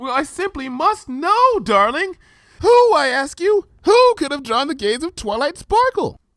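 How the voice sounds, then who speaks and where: Using a put-on character voice, a man talks at a moderate pace with an extremely high pitch and very wide pitch swings. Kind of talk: refined, affected elegance. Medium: read story. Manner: posh, dramatic, fond endearments.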